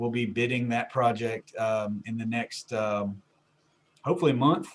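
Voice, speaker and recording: His pitch sits at a medium level. The man keeps his intonation fairly even. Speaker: utility director presenting to county commissioners. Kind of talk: work session presentation. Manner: quiet; halting, many fillers. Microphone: far from mic, moved closer.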